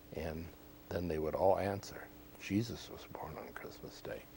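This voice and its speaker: Speaking in an American accent, a man keeps a moderate pace and a very deep, low pitch. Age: 70s. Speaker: former department store Santa Claus, realtor. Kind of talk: TV interview, reminiscing. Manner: hesitant, many fillers.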